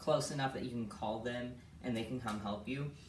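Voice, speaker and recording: A woman's voice with audible room echo. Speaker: vlogger. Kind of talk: casual vlog. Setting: at home.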